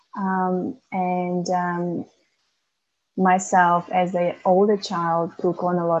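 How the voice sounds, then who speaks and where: In a Macedonian accent, a woman speaks at a fairly low pitch with monotone, flat intonation. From North Macedonia. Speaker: author and young carer advocate. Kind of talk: interview. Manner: halting, many fillers.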